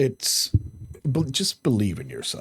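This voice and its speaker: A man speaks at a fairly slow pace in a somewhat breathy voice, his pitch swinging very widely. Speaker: YouTube vlogger. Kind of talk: motivational talk to camera. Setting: on camera. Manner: halting, repeating words; earnest.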